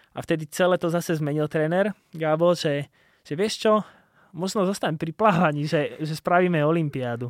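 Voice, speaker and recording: Pitch variation is ordinary and the pace is moderate. The background is silent on this very clean recording. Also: man, high pitch for a man. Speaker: Olympic triathlete and podcaster. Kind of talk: casual interview chat. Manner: halting, many fillers and repeats.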